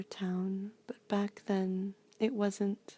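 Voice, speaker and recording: The tone is relaxed. The speaker is soft-spoken. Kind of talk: soft-spoken ASMR ramble. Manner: soft-spoken, relaxed, rambling with hesitations.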